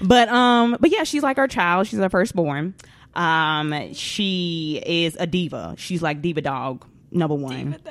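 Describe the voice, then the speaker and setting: A woman speaks with a Southern US accent at a fairly slow pace, her pitch fairly low. Her intonation is lively. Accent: US South. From Atlanta, Georgia. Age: 20s. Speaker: podcast host. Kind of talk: casual chat.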